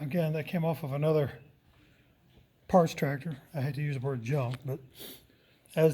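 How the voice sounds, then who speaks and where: In a very clean recording with a silent background, a man with a fairly high pitch, a dark, mellow tone and a somewhat breathy voice speaks at a moderate pace with fairly even intonation and long, frequent pauses. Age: 60s. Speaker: tractor collector and mechanic. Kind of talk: casual tutorial walkthrough. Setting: shop.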